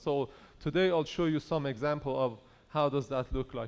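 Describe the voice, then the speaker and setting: A man with a Persian accent speaks with fairly even intonation. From Iran. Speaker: conference speaker on AI in engineering. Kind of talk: conference talk. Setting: stage with audience.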